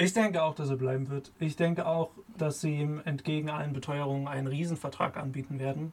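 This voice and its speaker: A man speaks at a fairly high pitch and a fairly quick pace. His voice is somewhat breathy, with fairly even intonation. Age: 20s. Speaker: student podcast co-host. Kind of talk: casual sports chat. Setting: video call.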